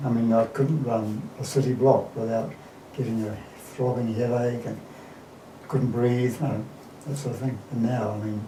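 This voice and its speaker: A man speaks with fairly even intonation and long, frequent pauses. Noticeable background noise and audible room echo fill the recording. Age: 60s. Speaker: marathon runner. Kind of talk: interview.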